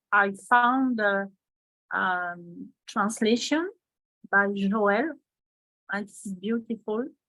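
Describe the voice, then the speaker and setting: A woman with a French accent speaks at a very slow pace with long, frequent pauses. Her medium pitch carries a bright, sharp tone and ordinary pitch variation. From France. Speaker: workshop participant. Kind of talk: testimony. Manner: halting.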